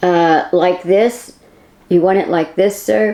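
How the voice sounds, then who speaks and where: At a fairly slow pace, a female-sounding put-on character voice comes across as raspy, with medium pitch for a woman. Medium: read story.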